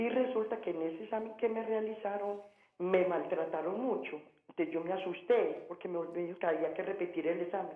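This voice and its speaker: A woman speaks at a fairly quick pace with audible room echo and noticeable background noise. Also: medium pitch for a woman, ordinary pitch variation. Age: 60s. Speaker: caller. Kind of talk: phone-in question. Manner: halting, repeating words.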